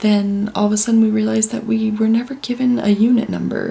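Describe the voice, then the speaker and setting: A woman talks with an American accent. Noticeable noise sits in the background. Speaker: vlogger. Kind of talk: casual vlog talk to camera. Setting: condo room at night. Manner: soft-spoken, hushed.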